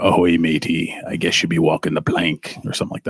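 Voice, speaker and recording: A man puts on a character voice with a very deep, low pitch, talking at a fairly quick pace. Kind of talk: playful, stock pirate speech. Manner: theatrical, comic.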